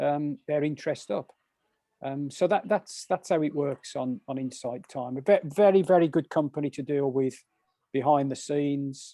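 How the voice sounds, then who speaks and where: The sound is dry and close with no echo as a man with a Birmingham accent talks in a dark, mellow tone with ordinary pitch variation. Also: fairly high pitch for a man, moderate pace. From English Midlands, Birmingham. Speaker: meditation teacher. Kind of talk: casual interview chat. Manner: halting, many repetitions.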